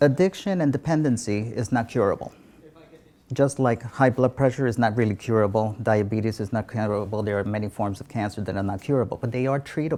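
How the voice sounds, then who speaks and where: Speaking in a New York accent, a man with a dark, mellow tone and medium pitch goes at a fairly quick pace with ordinary pitch variation. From New York City, South Bronx. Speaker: physician. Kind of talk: interview.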